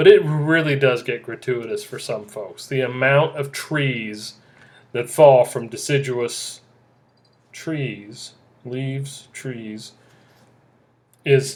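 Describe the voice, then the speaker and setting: Speaking at a very slow pace with long, frequent pauses, a man shows ordinary pitch variation and big swings in loudness. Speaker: podcast host. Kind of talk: casual solo podcast monologue. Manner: loud, boisterous; halting, many fillers and restarts.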